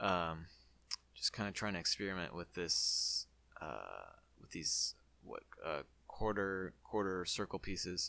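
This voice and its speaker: A man speaking at a fairly slow pace with long, frequent pauses, in a very clean recording over a silent background. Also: big swings in loudness. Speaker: gaming YouTuber. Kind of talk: gameplay commentary. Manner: casual with many fillers.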